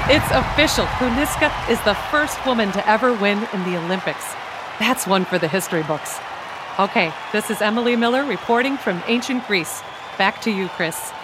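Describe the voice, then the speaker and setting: A woman's animated tone and lively intonation, with crowd noise in the background. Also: fairly high pitch for a woman. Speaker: roving reporter. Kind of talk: live race commentary, chariot race call. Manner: fast, breathless, animated, rising excitement.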